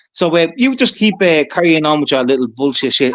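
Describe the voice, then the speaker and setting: Backed by music, a man talks very fast in a high voice with lively intonation. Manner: hesitant, many filler words.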